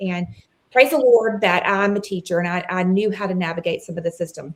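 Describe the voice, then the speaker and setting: A woman with a Southern US accent at a fairly quick pace. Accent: very Southern. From Mississippi. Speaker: former teacher, parent advocate. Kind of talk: interview. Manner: animated.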